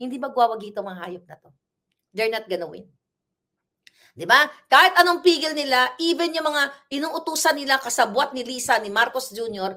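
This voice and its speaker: In an angry tone, a woman uses a raised, projected voice that is high-pitched, bright and sharp, at a moderate pace with big swings in loudness. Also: lively intonation. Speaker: political commentator. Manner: angry, fiery; emphatic, rhetorical.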